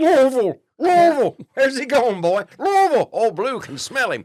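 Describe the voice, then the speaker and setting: A man speaks at a moderate pace in a put-on character voice, pitched extremely high. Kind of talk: comic mimicry. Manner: drawn-out baying, howling.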